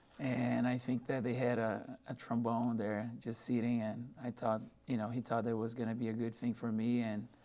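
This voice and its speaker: In a Portuguese accent, a man speaks at a fairly quick pace and a medium pitch in a dark, mellow tone. His intonation is monotone and flat, his loudness very even. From Brazil, São Paulo. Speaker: music professor. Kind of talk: radio interview.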